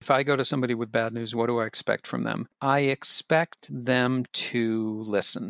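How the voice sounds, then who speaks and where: The speaker uses an unremarkable speaking voice at a moderate pace with hardly any pauses. Intonation is fairly even, and the sound is dry and close with no echo. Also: man, medium pitch for a man. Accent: American. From Boston, US. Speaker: podcast co-host. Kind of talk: casual chat.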